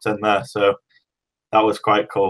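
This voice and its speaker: A medium-pitched male voice in an English accent. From Great Britain. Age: 20s. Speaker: powerlifter. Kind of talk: podcast interview.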